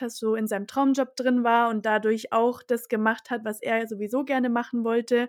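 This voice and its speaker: A woman speaks at a moderate pace with a high pitch and monotone, flat intonation. The recording is very clean, with a silent background. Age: 20s. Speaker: podcast host. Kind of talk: podcast interview.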